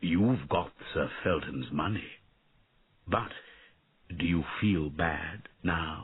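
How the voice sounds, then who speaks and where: A man speaks quietly in a put-on character voice with a very deep, low pitch. The pace is very slow, broken by long, frequent pauses. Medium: read story. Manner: quiet, sad.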